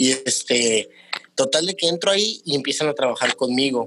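A man at a moderate pace. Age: 30s. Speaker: entrepreneur, restaurant owner. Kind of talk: interview.

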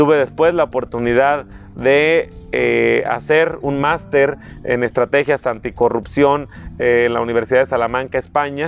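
A man talks at a fairly slow pace and a medium pitch with ordinary pitch variation, with noticeable background noise behind him. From Mexico, Michoacán (Tierra Caliente, La Huacana). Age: 30s. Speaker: political candidate. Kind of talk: interview.

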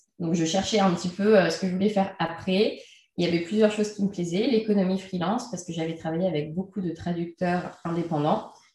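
Somewhat breathy and dark, mellow in tone, a woman at a medium pitch talks at a fairly quick pace with fairly even intonation. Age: 30s. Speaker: entrepreneur and freelance trainer. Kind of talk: interview. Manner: hesitant, many fillers.

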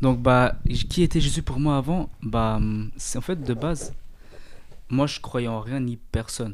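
A man, medium-pitched, an ordinary speaking voice, his pitch shifting in the usual way. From Eritrea. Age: 20s. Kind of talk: casual faith discussion.

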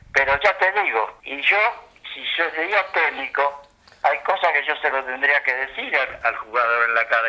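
Lively intonation marks this man's Rioplatense accent as he speaks at a moderate pace over noticeable background noise. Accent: Argentine Rioplatense Spanish. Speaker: retired footballer. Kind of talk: interview.

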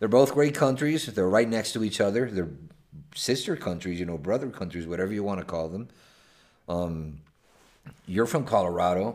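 A man with a Spanish accent speaks at a moderate pace with a fairly low pitch. His intonation is lively, and his pauses are long and frequent. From Venezuela, Caracas. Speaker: podcast host. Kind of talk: casual chat. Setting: hotel room.

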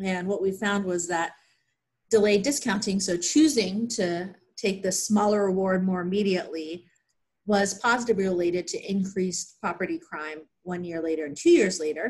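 A woman with an American accent speaks at a moderate pace and medium pitch. Her somewhat breathy voice has ordinary pitch variation. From Pennsylvania, US. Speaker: clinical psychologist. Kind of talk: research interview.

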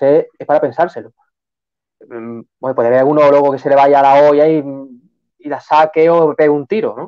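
The speech moves at a fairly quick pace with fairly even intonation and long, frequent pauses. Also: man. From Seville, Andalusia. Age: 20s. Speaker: novelist. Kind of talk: live-stream interview.

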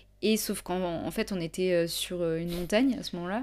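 On a very clean recording with a silent background, a normal speaking voice shows ordinary pitch variation. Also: woman. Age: 20s. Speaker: photographer and YouTuber. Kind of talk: casual chat. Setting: home studio with candle, evening.

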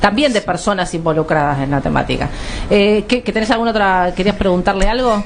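Fairly quick and at medium pitch with ordinary pitch variation, a woman speaks over noticeable background noise. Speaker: radio host. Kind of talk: talk radio interview. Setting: radio studio.

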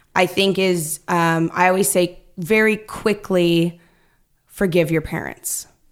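A woman with an American accent and a normal speaking voice, fairly low in pitch with ordinary pitch variation, in a very clean recording with a silent background. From Northern California (Stockton). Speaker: actress and improviser. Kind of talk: casual chat.

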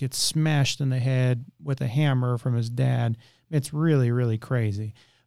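The speaker is a man with a medium pitch. His voice has a dark, mellow tone. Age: 30s. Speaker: podcast host. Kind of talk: casual chat.

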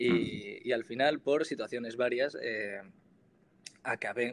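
A man has an ordinary speaking voice at medium pitch. His intonation stays fairly even. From Spain, Granada (Andalusia). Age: 20s. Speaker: singer-songwriter and student. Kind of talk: interview.

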